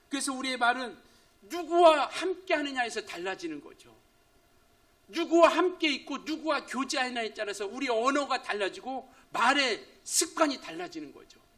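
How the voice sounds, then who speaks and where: Extremely high in pitch, a man speaks at a moderate pace with lively intonation and big swings in loudness. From rural Korea. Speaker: pastor. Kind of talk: sermon. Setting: church.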